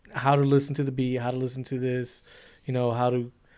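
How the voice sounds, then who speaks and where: In a very clean recording with a silent background, a man talks at a fairly quick pace with a Spanish accent. His pitch is medium and his intonation monotone and flat. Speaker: cameraman and editor. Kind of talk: casual podcast chat.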